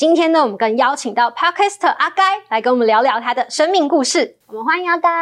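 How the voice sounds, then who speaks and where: Talking at a very fast pace, a woman with a high pitch makes very wide pitch swings. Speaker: podcast host. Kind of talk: interview; scripted show introduction.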